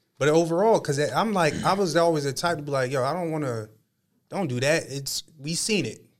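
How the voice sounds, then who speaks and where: A man with an American accent has a plain, everyday voice, talking at a fairly quick pace and fairly high pitch with ordinary pitch variation. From Harrisburg, Pennsylvania, US. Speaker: podcast host. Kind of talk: casual chat.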